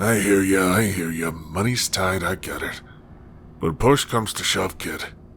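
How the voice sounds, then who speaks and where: Raspy and weary in tone, a put-on character voice goes at a moderate pace over clear background noise. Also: man, very deep, low pitch for a man. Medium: audio drama. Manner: gruff, world-weary.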